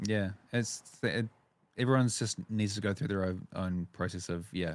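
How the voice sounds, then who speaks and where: A man with a New Zealand accent speaks at a moderate pace in a fairly low voice with fairly even intonation, in a very clean recording with a silent background. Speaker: wedding videographer and podcast host. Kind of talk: casual interview chat. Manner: halting, with repetitions.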